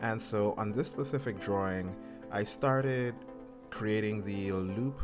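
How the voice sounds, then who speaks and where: A man speaks fairly slowly, with music in the background. His voice sits fairly low and varies in pitch in an ordinary way. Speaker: hobbyist art learner. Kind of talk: casual talk to camera.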